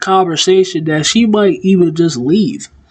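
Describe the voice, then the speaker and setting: Here is a woman with a medium-pitched voice. She uses lively intonation. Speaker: wrestling commentary youtuber. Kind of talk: casual opinion monologue. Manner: rambling, halting.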